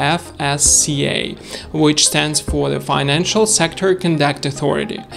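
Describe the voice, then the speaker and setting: A man speaks at a fairly slow pace. Music plays clearly in the background. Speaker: broker reviewer. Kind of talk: presenter review to camera. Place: home room.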